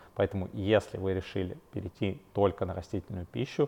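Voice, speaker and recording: A man's very deep, low voice, somewhat breathy, with fairly even intonation. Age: 30s. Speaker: fitness coach and nutritionist. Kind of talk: solo educational podcast. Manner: casual with frequent fillers.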